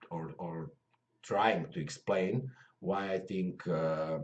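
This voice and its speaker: This is a man talking in a Croatian accent. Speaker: MMA commentator. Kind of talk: casual video talk to viewers. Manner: halting, many fillers.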